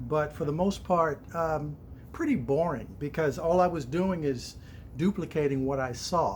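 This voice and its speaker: This man has a plain, everyday voice, fairly high in pitch, moving at a fairly slow pace with ordinary pitch variation. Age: 60s. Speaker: stained glass artist. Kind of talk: personal introduction monologue. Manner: casual, with frequent fillers.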